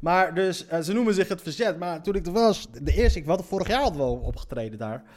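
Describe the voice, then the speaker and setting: A man's high voice, energetic and very fast, with very wide pitch swings. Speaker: podcast host and comedian. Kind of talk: casual monologue. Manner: halting, many fillers.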